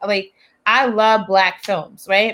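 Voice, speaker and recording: Here a woman with an American accent speaks at a fairly slow pace. Her medium-pitched voice has a bright, sharp tone. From US South, Charleston, South Carolina. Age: 30s. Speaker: podcast co-host and film producer. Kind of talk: casual interview chat.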